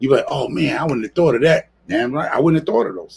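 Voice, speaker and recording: A man speaks with a New York accent. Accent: New York City. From New York City, the Bronx. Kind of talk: casual live-stream chat. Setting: live stream.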